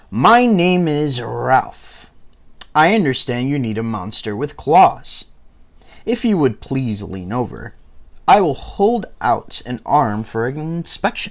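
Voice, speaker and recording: Using a put-on character voice pitched fairly high, a man speaks at a fairly slow pace in a very clean recording with a silent background. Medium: read story.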